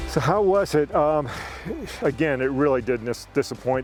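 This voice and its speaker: The speaker is a man going at a fairly quick pace. Behind him, background noise is noticeable. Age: 60s. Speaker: motorcycle rider. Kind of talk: casual explainer talk to camera.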